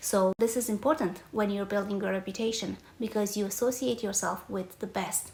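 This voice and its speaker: Speaking at a moderate pace, a woman keeps her medium pitch in fairly even intonation. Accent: Romanian. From Romania. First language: Romanian. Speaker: podcast host, reputation coach. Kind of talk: personal storytelling monologue.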